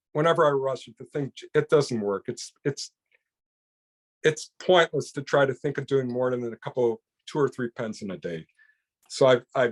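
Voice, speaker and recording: Speaking with an American accent at a medium pitch, a man talks at a fairly quick pace with lively intonation in a dry, close sound with no echo. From US Midwest, Chicago area. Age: 60s. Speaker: pen maker. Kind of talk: interview conversation. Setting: podcast recording. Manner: halting, with frequent restarts.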